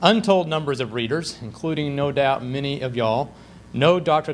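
Light background noise accompanies talking at a moderate pace. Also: man. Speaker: host introducing the lecturer. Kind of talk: formal speaker introduction. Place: hall.

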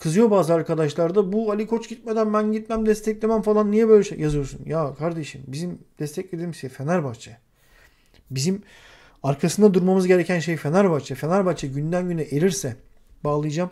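Against a quiet background, a man with a high pitch and a dark, mellow tone talks at a fairly quick pace with ordinary pitch variation. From Turkey. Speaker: football commentator. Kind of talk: casual chat; heated panel discussion. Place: home room. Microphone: video call.

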